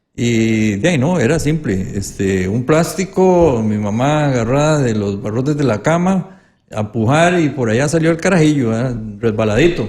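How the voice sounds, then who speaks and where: Audible room echo surrounds a man talking at a moderate pace, his medium-pitched voice carrying lively intonation. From Costa Rica, Pital de San Carlos (rural Alajuela). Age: 70s. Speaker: legislator and educator. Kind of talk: interview.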